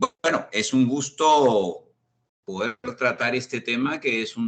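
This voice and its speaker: A man talks with ordinary pitch variation. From Peru. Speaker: risk management expert. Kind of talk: online panel discussion. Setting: video call.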